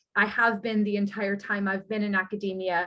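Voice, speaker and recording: A woman with a Canadian accent and an ordinary speaking voice, medium pitch, moderate pace, in a very clean recording with a silent background. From Canada (Toronto). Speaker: university lecturer. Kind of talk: academic talk. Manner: conversational, with frequent fillers.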